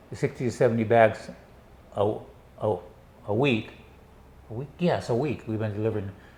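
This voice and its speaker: Somewhat breathy, a man talks with an American accent at a medium pitch. He leaves long, frequent pauses. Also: ordinary pitch variation, moderate pace. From US Northwest (Washington state). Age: 70s. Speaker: retiree. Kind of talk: interview.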